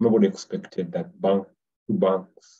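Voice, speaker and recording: The tone is dark and mellow. Delivery is at a moderate pace with fairly even intonation. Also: man. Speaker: webinar presenter. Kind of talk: webinar presentation. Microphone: webcam.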